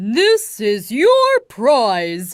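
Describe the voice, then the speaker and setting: A female-sounding, put-on character voice is pitched fairly high for a woman. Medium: read story. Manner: commanding.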